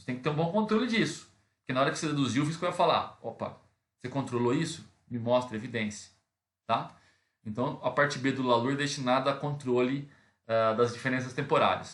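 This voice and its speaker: Talking at a fairly quick pace, a man with a medium-pitched voice shows ordinary pitch variation and big swings in loudness. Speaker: accounting teacher. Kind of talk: lecture. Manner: fast; hesitant fillers.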